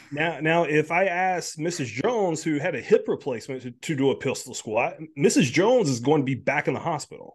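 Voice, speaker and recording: An animated man's voice, fairly high, with an American accent and lively intonation, at a fairly quick pace with hardly any pauses, against a quiet background. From South Carolina, US South. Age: 30s. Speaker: health and nutrition coach. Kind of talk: casual interview chat.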